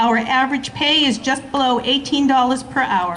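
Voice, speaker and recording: A woman's high-pitched voice in a Boston accent, with audible room echo and noticeable background noise. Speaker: school support staff union member. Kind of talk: rally speech.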